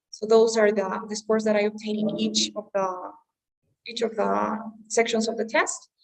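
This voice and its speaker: With a Spanish accent, a woman talks at a moderate pace, her pitch fairly high and her intonation fairly even. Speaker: English teacher. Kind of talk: online class.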